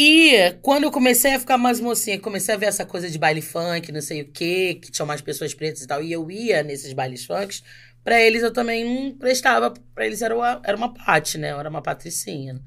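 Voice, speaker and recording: A woman of medium pitch speaks at a fairly quick pace with hardly any pauses, very wide pitch swings and big swings in loudness. The recording is very clean, with a silent background. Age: 40s. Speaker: actress. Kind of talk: casual chat.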